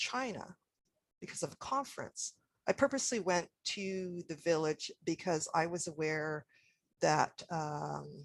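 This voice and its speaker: This woman has an ordinary speaking voice, fairly low in pitch, with a Canadian accent. She speaks at a fairly slow pace with lively intonation, in a dry, close sound with no echo. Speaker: historian, academic speaker. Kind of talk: presentation.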